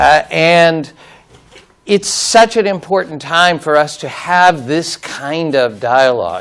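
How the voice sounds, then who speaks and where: A fairly high-pitched man with an American accent at a very slow pace, with noticeable background noise. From United States. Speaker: law professor. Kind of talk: conference talk. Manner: halting.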